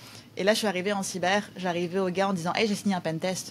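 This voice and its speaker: A woman is talking. Her voice sits at a medium pitch. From France. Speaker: cybersecurity company co-founder. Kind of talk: podcast interview. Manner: animated.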